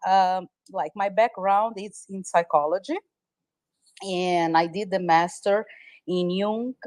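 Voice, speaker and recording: With a Brazilian Portuguese accent, a woman at a medium pitch speaks at a fairly slow pace with long, frequent pauses, fairly even intonation and big swings in loudness, in a dry, close sound with no echo. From Brazil, Sao Paulo. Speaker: massage therapist. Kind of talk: interview. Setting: live audio space streamed online.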